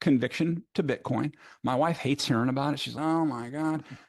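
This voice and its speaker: A normal speaking voice with an American accent at a fairly quick pace, dry and close with no echo over a quiet background. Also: man. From United States. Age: 50s. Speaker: bitcoin advocate, former mortgage lender. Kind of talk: podcast interview.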